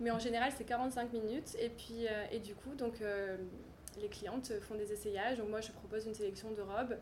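Audible room echo and noticeable background noise surround the recording. A woman speaks at a fairly quick pace in a monotone, flat delivery. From French Riviera, Cannes. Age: 30s. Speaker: fashion stylist and business founder. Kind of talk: interview. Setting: showroom.

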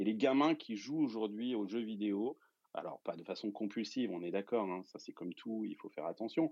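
With ordinary pitch variation around a medium pitch, a man talks at a moderate pace. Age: 40s. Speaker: entrepreneur and investor. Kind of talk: casual interview explanation. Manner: hesitant with many fillers.

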